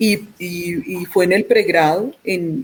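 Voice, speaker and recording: A woman speaks with an Antioquian Colombian accent and ordinary pitch variation. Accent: Antioquian (paisa) Colombian accent, kept. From Colombia, Antioquia (Medellín). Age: 50s. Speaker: physician, pediatrician. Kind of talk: interview. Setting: remote from home. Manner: hesitant, many repetitions.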